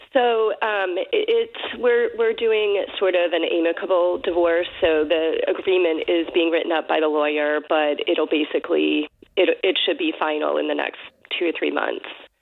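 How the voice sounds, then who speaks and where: A woman talks at a moderate pace as noticeable background noise goes on. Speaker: caller. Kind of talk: casual chat. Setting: phone call. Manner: halting.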